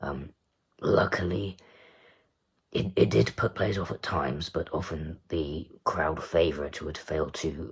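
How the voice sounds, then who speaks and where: A man with very deep, low pitch and vocal fry talks at a fairly slow pace with fairly even intonation. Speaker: darts commentator vlogger. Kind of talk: casual monologue review. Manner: halting, many fillers.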